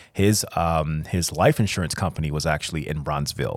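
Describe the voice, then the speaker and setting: A man with an American accent speaks at a fairly quick pace in a very deep, low voice. The recording is very clean, with a silent background. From Chicago. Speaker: fine artist. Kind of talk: casual interview. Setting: studio.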